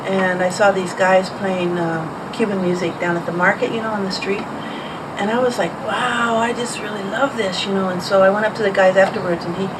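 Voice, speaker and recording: A woman speaks at a fairly quick pace in a medium pitch with ordinary pitch variation. Audible room echo and noticeable background noise surround her voice. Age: 70s. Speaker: drummer. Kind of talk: oral history interview. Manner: casual, halting with fillers.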